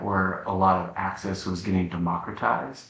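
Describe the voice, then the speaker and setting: This man has a very deep, low voice and an American accent. He talks at a fairly quick pace. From Nebraska, USA. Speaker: founder of a purpose-driven social enterprise. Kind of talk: podcast interview answer.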